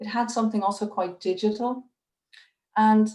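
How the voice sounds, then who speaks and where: A woman speaks with an Irish accent. Her pitch is fairly high and her pace moderate. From Ireland. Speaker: curator. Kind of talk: public talk on video call. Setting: video call. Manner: hesitant, many fillers.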